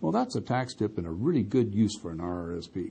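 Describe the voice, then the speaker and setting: The man's voice comes across as somewhat breathy. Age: 60s. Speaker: tax advisor. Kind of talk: scripted tip segment.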